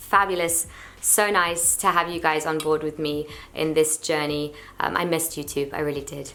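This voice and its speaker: A woman with a bright, sharp tone speaks at a fairly low pitch and moderate pace. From London and Portugal. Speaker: YouTuber and singer. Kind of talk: casual Q&A vlog. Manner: chatty, relaxed.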